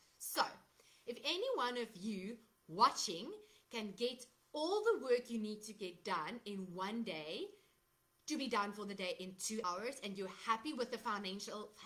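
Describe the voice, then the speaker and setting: With a South African accent, a woman speaks at a fairly slow pace. Her voice is fairly high and bright, with a sharp tone and ordinary pitch variation. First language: Afrikaans. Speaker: digital marketer. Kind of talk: live stream sales talk. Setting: Facebook live from laptop. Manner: casual with fillers. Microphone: laptop microphone, unsure if working.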